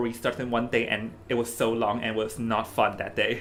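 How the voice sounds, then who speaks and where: The voice has a bright, sharp tone. It carries a Hong Kong accent. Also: man. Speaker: esports caster. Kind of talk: live esports commentary chat. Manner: halting, repeats words.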